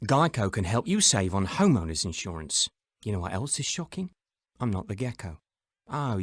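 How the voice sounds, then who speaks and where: A man with a fairly low pitch and a somewhat breathy voice speaks at a moderate pace with very wide pitch swings and long, frequent pauses, on a very clean recording with a silent background and a dry, close sound with no echo. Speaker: commercial voice actor.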